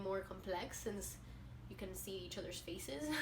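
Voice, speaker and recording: A woman speaks fairly quickly, and audible echo from the room surrounds her words. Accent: Spanish. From Venezuela. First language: Spanish. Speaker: booktuber. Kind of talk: casual vlog talk. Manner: halting, with fillers.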